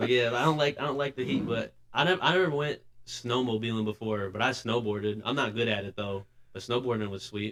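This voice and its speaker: A man at medium pitch and a fairly quick pace, with ordinary pitch variation and noticeable background noise. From Michigan, US. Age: 20s. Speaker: rapper and videographer. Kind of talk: casual podcast chat. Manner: filler-heavy, casual.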